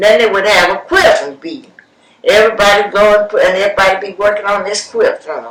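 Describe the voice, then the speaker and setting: Noticeable background noise runs behind the speech. A woman talks at a moderate pace with a medium pitch. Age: 80s+. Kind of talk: oral history interview answer. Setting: home recording on cassette.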